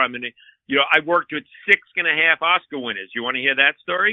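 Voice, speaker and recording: Speaking with a New York accent, a man goes at a fairly quick pace with ordinary pitch variation. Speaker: comedian and former transit cop. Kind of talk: casual chat. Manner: animated.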